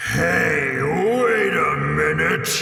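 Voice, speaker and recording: A man's put-on character voice with a clear echo. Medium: read story. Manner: halting, slow, fumbling.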